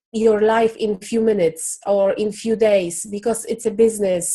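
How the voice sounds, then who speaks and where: In a non-native accent, the speaker talks at a fairly slow pace with a dark, mellow tone. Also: woman. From Poland. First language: Polish. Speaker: business founder. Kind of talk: interview. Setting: video call. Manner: halting.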